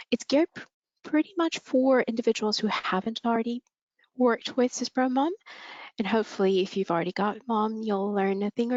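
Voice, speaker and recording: A woman's plain, everyday voice with a Canadian accent, fairly high pitch and lively intonation. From Canada, Vancouver. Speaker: webinar host. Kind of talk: webinar introduction.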